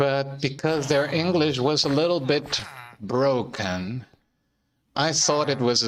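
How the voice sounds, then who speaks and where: With a non-native accent, a man is talking. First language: not English. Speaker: gaming streamer. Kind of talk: casual gameplay commentary. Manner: halting, many fillers and repeated words.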